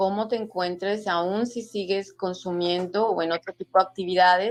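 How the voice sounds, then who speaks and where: A woman's medium-pitched voice, fairly slow and fairly even in intonation, with music in the background. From Mexico. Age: 60s. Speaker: author. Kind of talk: interview testimony.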